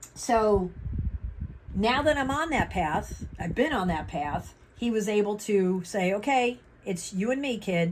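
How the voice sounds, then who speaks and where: Somewhat breathy, the voice moves at a fairly slow pace with lively intonation. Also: woman, medium pitch for a woman. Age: 60s. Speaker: vlogger and ordained minister. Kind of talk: casual vlog update. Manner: halting.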